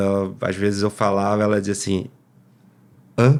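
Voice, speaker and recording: Fairly quick and fairly low, a man talks with monotone, flat intonation. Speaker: podcast host. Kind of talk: interview. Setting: live stream.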